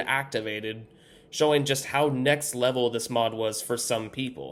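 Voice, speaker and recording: A man talks in a normal speaking voice at a moderate pace with fairly even intonation. The recording is very clean with a silent background. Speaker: YouTube content creator. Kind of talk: scripted personal story read to camera.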